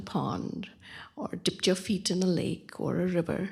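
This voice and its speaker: Vocal fry runs through this woman's voice as she speaks at a fairly slow pace. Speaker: anthropologist. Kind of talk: panel talk.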